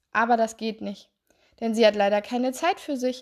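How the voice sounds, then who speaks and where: A woman speaks at a moderate pace in a fairly high pitch with fairly even intonation. She has a normal speaking voice against a quiet background. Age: 20s. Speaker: health coach and therapist podcaster. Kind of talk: solo podcast monologue.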